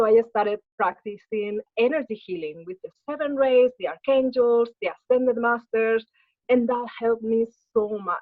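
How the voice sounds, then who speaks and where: Her pitch fairly high, a woman speaks with a Spanish accent. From Spain. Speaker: spiritual healer and martial artist. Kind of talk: interview.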